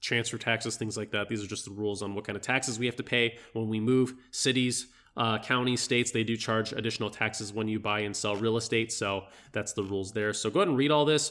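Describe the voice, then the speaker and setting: In a very clean recording with a silent background, a man speaks at a medium pitch. His tone is bright and sharp, with fairly even intonation. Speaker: realtor. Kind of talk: tutorial. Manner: fast; casual, hesitant with fillers.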